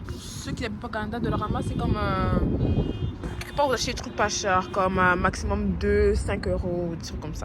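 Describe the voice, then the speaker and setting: Through noticeable background noise and audible room echo, a woman talks at a very fast pace. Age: young. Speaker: lifestyle vlogger. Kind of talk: casual vlog talk. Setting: bus stop outdoors. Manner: whispering.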